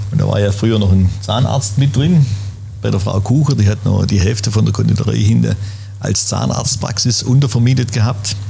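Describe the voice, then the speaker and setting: A man's fairly low voice at a moderate pace, with ordinary pitch variation and very even loudness, amid audible room echo and noticeable background noise. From Schwäbisch Gmünd, Swabia, southern Germany. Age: 60s. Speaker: café owner. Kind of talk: casual interview chat. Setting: in a café.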